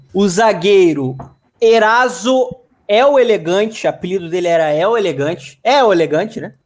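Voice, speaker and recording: A man's high pitch with lively intonation at a moderate pace. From Catete, Rio de Janeiro, Brazil. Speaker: podcast co-host. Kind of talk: casual chat.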